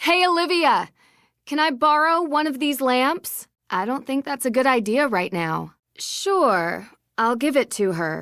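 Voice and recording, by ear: In a very clean recording with a silent background, a woman uses a put-on character voice that is high-pitched, fairly bright and lively in intonation, at a fairly slow pace.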